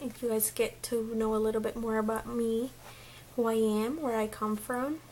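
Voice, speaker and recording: This woman talks at a moderate pace in a fairly high pitch, her intonation monotone and flat. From Mexico. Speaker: beauty vlogger. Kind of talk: casual vlog chat.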